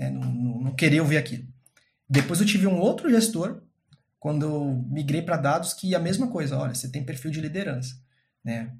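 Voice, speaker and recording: Somewhat breathy, this voice moves at a moderate pace with lively intonation, and audible room echo surrounds it. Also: man, fairly high pitch for a man. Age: 30s. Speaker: data science team lead. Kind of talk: interview. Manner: halting.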